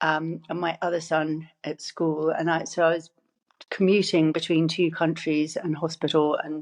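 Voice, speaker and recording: A woman speaks with an English accent in a fairly low pitch, at a fairly slow pace. Her intonation is monotone and flat. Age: 60s. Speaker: cancer survivor. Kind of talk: interview. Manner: halting.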